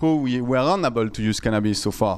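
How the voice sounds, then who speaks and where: The speaker has a strong French accent and ordinary pitch variation. The recording is very clean, with a silent background. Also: man. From France. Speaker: startup founder. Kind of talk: conference talk. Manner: loud.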